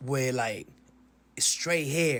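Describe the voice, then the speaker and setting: Pitched fairly high, a man speaks in a Spanish accent with ordinary pitch variation. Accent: Spanish accent, noticeable. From Dominican Republic. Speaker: social media commentator. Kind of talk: casual explanation to camera.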